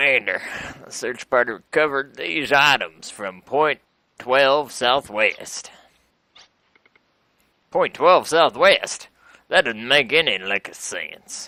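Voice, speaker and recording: Using a put-on character voice, a man speaks at medium pitch with lively intonation. His pace is fairly slow, with long, frequent pauses, in a dry, close sound with no echo. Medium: game stream. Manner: gruff military orders.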